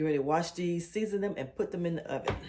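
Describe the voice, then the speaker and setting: Soft-spoken, a woman talks at a fairly quick pace in a very deep, low pitch. Her tone is dark and mellow, and her intonation is fairly even. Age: 60s. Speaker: lifestyle vlogger. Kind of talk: casual vlog talk while cooking. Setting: home kitchen. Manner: soft-spoken, low.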